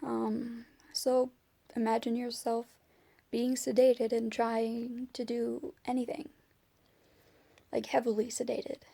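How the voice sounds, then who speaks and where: Her voice high in pitch with a dark, mellow tone, a woman speaks at a fairly slow pace with long, frequent pauses. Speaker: vlogger with chronic illness. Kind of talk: personal video diary. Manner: halting, searching for words.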